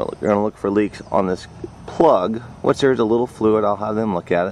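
With light background noise and a dry sound with no echo, a man speaks in fairly even intonation. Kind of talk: tutorial. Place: open country. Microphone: phone near.

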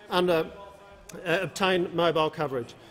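Against light background noise, a man talks at a fairly quick pace with fairly even intonation. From Australia. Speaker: government minister answering. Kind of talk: parliamentary answer. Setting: parliament chamber. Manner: formal; measured, hesitant with fillers. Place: hall. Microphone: podium.

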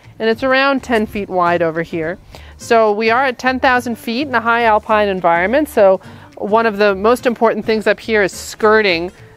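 Over faint music in the background, a woman speaks at a moderate pace with ordinary pitch variation, recorded dry with no echo. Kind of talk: home tour. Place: street.

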